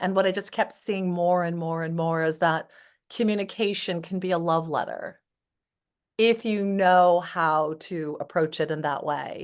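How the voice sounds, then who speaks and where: The background is quiet. A woman with an ordinary speaking voice talks at a fairly slow pace with fairly even intonation. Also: fairly low pitch for a woman. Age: 60s. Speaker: psychotherapist. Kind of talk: interview.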